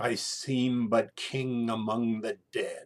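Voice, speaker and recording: Using a put-on character voice, a man speaks at medium pitch and a very slow pace. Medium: solo performance. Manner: prim, earnest.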